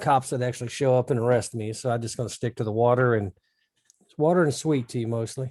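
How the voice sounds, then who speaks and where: A man talks very fast at a medium pitch with fairly even intonation. His loudness swings widely. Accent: American. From rural Missouri. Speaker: podcast co-host. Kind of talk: casual chat.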